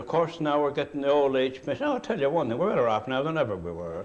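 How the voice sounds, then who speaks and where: A man talks in a Cape Breton accent at a fairly high pitch with ordinary pitch variation. Noticeable background noise sits behind him. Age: 70s. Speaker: retired coal miner. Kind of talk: oral history interview. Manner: animated.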